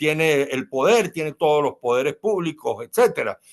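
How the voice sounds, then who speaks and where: A man talks at a moderate pace with a fairly high pitch and very wide pitch swings. The background is quiet. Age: 70s. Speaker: politician and writer. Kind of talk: interview.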